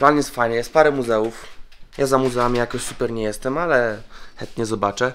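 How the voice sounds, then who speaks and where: Music in the background behind a man's medium-pitched voice at a moderate pace. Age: 20s. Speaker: travel vlogger. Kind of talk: casual vlog narration.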